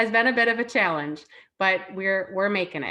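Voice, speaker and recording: A bright, sharp tone carries a Wisconsin accent over a quiet background. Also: woman. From Chicago. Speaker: former teacher and parent speaker. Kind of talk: online parenting talk. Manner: casual, filler-heavy.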